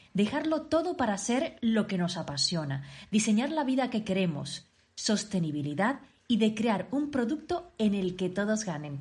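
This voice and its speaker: Somewhat breathy and medium in pitch, a woman talks at a moderate pace with very wide pitch swings. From Canary Islands, Tenerife. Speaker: podcast host. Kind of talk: scripted intro; interview.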